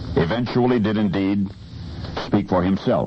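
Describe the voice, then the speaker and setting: Over noticeable background noise, a man speaks in a dramatic tone. His fairly low pitch moves with lively intonation. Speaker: radio broadcaster, storyteller. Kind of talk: radio storytelling segment. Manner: dramatic timed pauses.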